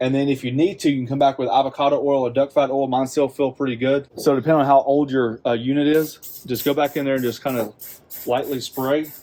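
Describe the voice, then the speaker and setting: Here a man talks at a very fast pace with a fairly high pitch. His intonation is monotone and flat. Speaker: barbecue grill youtuber. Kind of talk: tutorial. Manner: casual, conversational.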